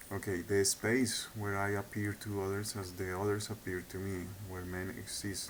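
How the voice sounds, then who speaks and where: Speaking at a moderate pace with a non-native accent, a man uses a very deep, low pitch and monotone, flat intonation, with audible room echo. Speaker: video blogger. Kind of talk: monologue lecture. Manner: halting; hesitant with repetitions.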